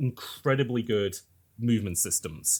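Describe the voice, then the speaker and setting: Somewhat breathy male voice at medium pitch, on a very clean recording with a silent background. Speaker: podcast host discussing video games. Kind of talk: casual podcast discussion.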